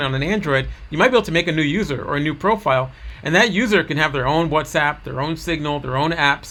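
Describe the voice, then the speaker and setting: A man with an American accent, fairly high pitch, ordinary pitch variation, vocal fry and a very fast pace. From New York. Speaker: digital privacy educator. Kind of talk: recorded presentation.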